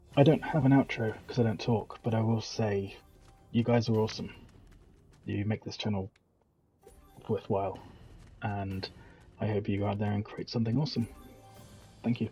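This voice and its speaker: Someone with a British accent speaks at a moderate pace with fairly even intonation and long, frequent pauses. Music plays in the background. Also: man, medium pitch for a man. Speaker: gaming tutorial creator. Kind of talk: tutorial.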